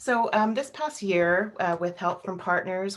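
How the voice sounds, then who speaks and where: A woman speaks in a normal speaking voice. The recording is very clean, with a silent background. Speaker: wildlife biologist. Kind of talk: presentation.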